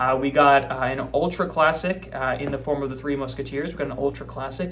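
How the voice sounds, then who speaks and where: The speech comes at a fairly quick pace. Noticeable background noise and audible room echo fill the recording. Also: man. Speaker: book vlogger. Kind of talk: casual chat.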